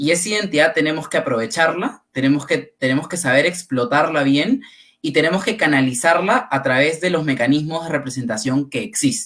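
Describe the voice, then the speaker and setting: At a fairly quick pace, a man talks in a normal speaking voice with a fairly high pitch. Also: lively intonation. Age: 20s. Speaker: panelist. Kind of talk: panel discussion. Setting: livestream.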